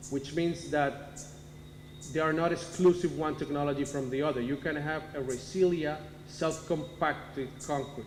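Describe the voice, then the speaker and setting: A man speaks with a fairly high pitch and fairly even intonation. Audible room echo surrounds his voice. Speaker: cement company marketing manager. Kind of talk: technical presentation. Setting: town hall meeting. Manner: halting, with fillers and self-corrections.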